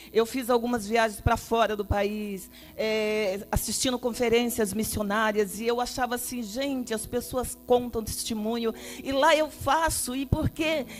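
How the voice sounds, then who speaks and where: With music in the background, a woman of fairly high pitch speaks fairly slowly with fairly even intonation. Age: 60s. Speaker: pastor. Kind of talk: testimony.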